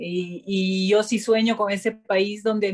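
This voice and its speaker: A woman's medium-pitched, plain, everyday voice with fairly even intonation. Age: 50s. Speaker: politician. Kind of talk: panel discussion.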